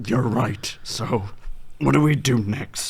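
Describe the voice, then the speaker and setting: Over light background noise, a man does a raspy put-on character voice at a medium pitch, speaking fairly slowly with lively intonation. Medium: audio drama.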